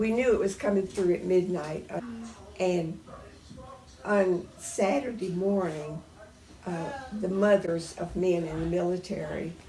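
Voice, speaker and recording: Her pitch is medium, with ordinary variation. The woman speaks at a very slow pace. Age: 80s+. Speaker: World War II era witness. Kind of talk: interview answer.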